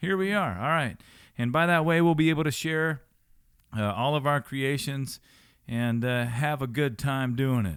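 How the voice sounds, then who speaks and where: At a moderate pace, a man with an unremarkable speaking voice talks at a fairly high pitch with ordinary pitch variation, on a very clean recording with a silent background. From rural Missouri. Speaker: podcast host and musician. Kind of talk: casual chat.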